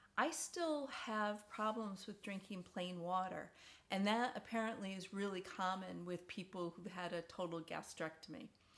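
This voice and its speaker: Delivered at a fairly slow pace, this is a normal speaking voice. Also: woman. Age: 60s. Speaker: video diarist, stomach cancer survivor. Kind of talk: casual personal vlog. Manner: conversational with frequent fillers and repetitions.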